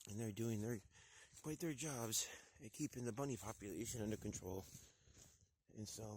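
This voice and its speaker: A man speaks at a moderate pace with a medium pitch, ordinary pitch variation, and a somewhat breathy quality. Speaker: hunter vlogger. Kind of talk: outdoor hunting vlog. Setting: outdoors.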